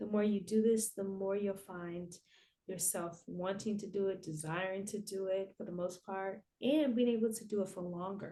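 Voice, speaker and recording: Soft-spoken and calm in tone, a woman talks at a moderate pace and medium pitch with a dark, mellow tone and fairly even intonation. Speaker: therapist. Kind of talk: guided breathwork.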